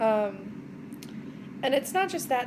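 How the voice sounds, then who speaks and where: A loud woman's voice, high in pitch, over noticeable background noise. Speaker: vlogger, mother of four. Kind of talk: casual vlog monologue. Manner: upbeat, bubbly.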